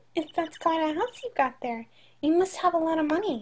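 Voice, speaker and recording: A woman puts on a squeaky character voice at an extremely high pitch, talking fairly quickly with lively intonation. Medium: game stream. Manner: intimidating, blunt.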